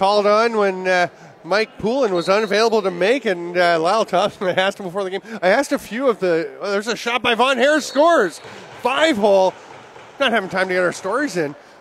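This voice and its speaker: A man with a Canadian accent talks at a very fast pace in a high voice, his pitch varying in an ordinary way over noticeable background noise. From Canada. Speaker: lacrosse play-by-play commentator. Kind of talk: live sports commentary. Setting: indoor arena broadcast booth.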